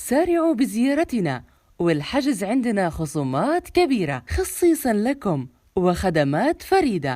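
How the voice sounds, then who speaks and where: Speaking very slowly with a Gulf accent, a woman has a dark, mellow tone and very wide pitch swings. The recording is very clean and the background silent. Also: very even loudness. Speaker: voice-over artist. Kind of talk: TV commercial read.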